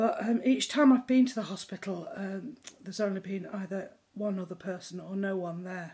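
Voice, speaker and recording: Speaking in a British accent, a woman has a somewhat breathy, dark, mellow tone, with lively intonation, big swings in loudness and a moderate pace. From England. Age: 60s. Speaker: member of the public. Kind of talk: video testimony. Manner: halting, many filler words. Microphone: phone near.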